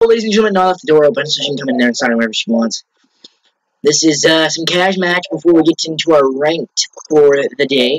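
A man speaks at a very fast pace and a fairly high pitch. The sound is dry with no echo, and the background is quiet. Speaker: gaming YouTuber. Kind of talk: live gameplay commentary. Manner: animated. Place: home room. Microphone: headset.

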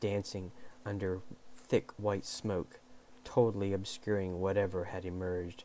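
The text is read aloud in a natural voice.

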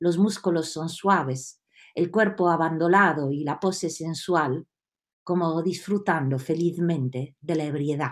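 Against a quiet background, a woman with a fairly low pitch talks at a fairly slow pace with ordinary pitch variation. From Italy, Rome. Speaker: storyteller. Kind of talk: storytelling. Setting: video call. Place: home room. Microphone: webcam.

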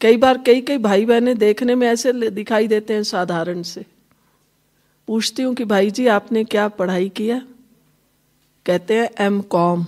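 The pitch varies in an ordinary way. Long pauses come often. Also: woman, fairly high pitch for a woman. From Himachal Pradesh, India. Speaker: spiritual teacher. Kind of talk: spiritual talk. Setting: hall with live audience. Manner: conversational, addresses audience directly.

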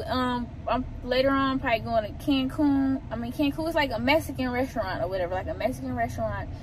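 Speaking at a fairly quick pace, a woman sounds dry with no echo, over noticeable background noise. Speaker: vlogger. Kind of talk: casual vlog chat. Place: car. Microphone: phone near.

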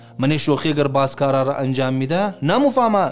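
Music plays faintly behind the voice. The speaker is a man. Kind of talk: sermon-style advice talk. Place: home room.

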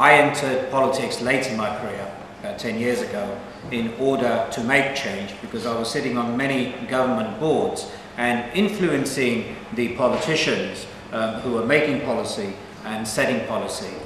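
With light background noise and audible room echo, a man talks at a moderate pace with ordinary pitch variation. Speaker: politician, election candidate. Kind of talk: political speech. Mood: earnest, persuasive. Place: hall. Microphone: camera far.

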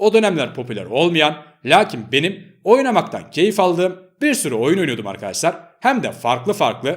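A man talks fairly quickly in a high voice, his pitch swinging very widely. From Turkey, Ankara. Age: 20s. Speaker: gaming YouTuber. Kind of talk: face-reveal vlog talking to viewers.

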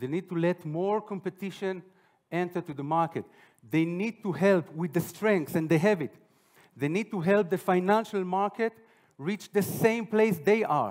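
The speaker is a man with a high voice. The background is quiet. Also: ordinary pitch variation, moderate pace. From Israel. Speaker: finance executive. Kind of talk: conference talk. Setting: stage with audience. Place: hall. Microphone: headset.

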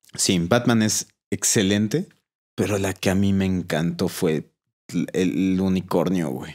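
A man with a Mexican accent speaks very slowly in a very deep, low voice with ordinary pitch variation. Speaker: podcast host. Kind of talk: casual chat.

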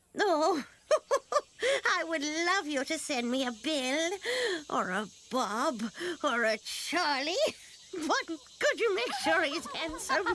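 A female-sounding voice, high-pitched and cheerful, performs a put-on character voice at a fairly slow pace with long, frequent pauses. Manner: cheerful, fluttery, chatty.

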